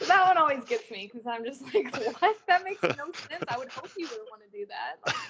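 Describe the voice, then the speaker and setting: A woman with an American accent speaks at a fairly quick pace in an extremely high voice, her pitch swinging very widely and her loudness rising and falling sharply over noticeable background noise. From California. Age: 20s. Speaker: retired BMX racer. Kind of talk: interview. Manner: casual, conversational.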